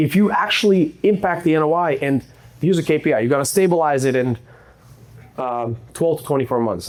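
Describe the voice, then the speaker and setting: In a non-native accent, a man speaks at a fairly high pitch with lively intonation. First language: not English. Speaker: real estate investor. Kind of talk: presentation to live audience. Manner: casual, conversational.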